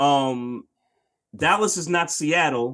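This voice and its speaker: A man speaks in a fairly high voice with ordinary pitch variation, in a normal speaking voice. The background is quiet. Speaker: podcast host, sports talk. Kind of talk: casual sports podcast chat. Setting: online livestream.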